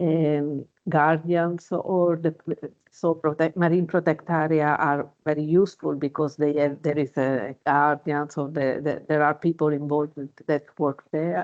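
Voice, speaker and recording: A woman talks at a very deep, low pitch and a fairly slow pace, keeping very even loudness and fairly even intonation. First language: not English. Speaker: underwater archaeologist. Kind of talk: webinar panel discussion. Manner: halting, many fillers.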